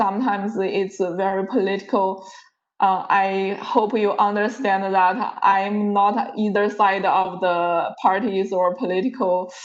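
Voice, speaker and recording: A woman speaks in a monotone, flat intonation with a non-native accent. Room echo can be heard. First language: not English. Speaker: university lecturer. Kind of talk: lecture. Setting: video call. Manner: halting.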